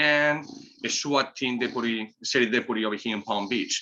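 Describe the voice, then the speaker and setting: With a Spanish accent, this voice moves along at a moderate pace. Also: man. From Spain, Basque Country. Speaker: cigar company owner. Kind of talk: casual chat.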